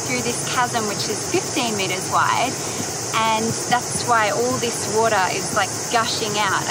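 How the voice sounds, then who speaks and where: At a moderate pace, a woman talks with ordinary pitch variation, her dry sound having no echo, over loud background noise. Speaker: travel vlogger. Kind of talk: casual vlog chat. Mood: enthusiastic, awed. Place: waterside. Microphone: phone near.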